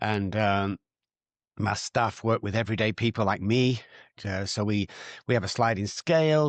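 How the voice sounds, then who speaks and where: In a Manchester accent, a man speaks at a moderate pace with ordinary pitch variation. The sound is dry and close with no echo, and the background is quiet. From Manchester, northern England. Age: 60s. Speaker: addiction recovery doctor. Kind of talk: podcast interview.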